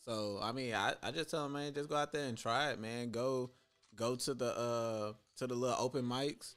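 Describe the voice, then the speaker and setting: Over music in the background, a man with medium pitch speaks at a moderate pace with fairly even intonation. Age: 20s. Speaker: spoken word poet. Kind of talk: casual chat.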